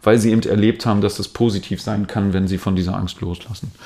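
A man's fairly low-pitched voice in a calm tone, on a very clean recording with a silent background. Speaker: dance trainer. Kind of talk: interview.

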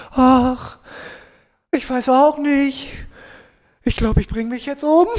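A put-on character voice, high-pitched and whiny in tone, whiny throughout, at a fairly slow pace. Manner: whiny, resigned.

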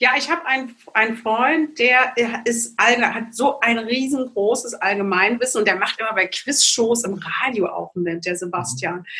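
A woman's fairly high voice at a fairly slow pace, ordinary pitch variation, with noticeable background noise. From East Germany. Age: 50s. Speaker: naturopath and psychological counsellor. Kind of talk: interview.

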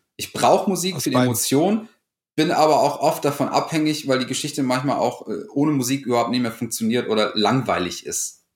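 Using an ordinary speaking voice, a man talks fairly quickly at a fairly high pitch with lively intonation. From Lower Rhine region, Germany, near Dutch border. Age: 30s. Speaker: freelance video editor. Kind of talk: casual interview chat.

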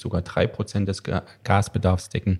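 A man's dark, mellow, somewhat breathy voice on a very clean recording with a silent background. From Thuringia, eastern Germany. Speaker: podcast host, trade journal editor. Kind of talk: casual chat.

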